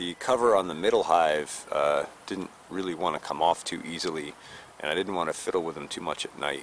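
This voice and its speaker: Light background noise and a dry, echo-free sound around a man talking at a moderate speed. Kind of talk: casual vlog chat. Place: garden.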